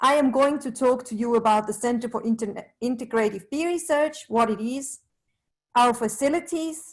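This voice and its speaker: With a Swiss accent, a woman talks in a high voice at a moderate pace, her pitch varying in an ordinary way. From Switzerland, Zurich. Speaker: bee researcher. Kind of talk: presentation.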